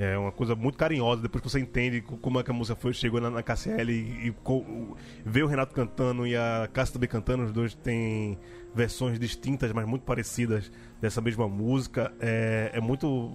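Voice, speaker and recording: Music plays in the background as a man talks at a fairly quick pace. His intonation stays monotone and flat. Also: medium pitch for a man, very even loudness. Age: 30s. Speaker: podcast host. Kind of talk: casual chat.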